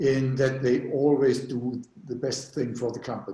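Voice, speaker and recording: A somewhat breathy man with a German accent, medium pitch and a dark, mellow tone, at a fairly slow pace amid audible room echo. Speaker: panel moderator. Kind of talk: webinar moderation. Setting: video call. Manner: halting.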